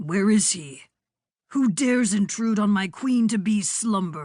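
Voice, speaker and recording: A female-sounding put-on character voice comes through. It moves at a fairly slow pace. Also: medium pitch for a woman. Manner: menacing.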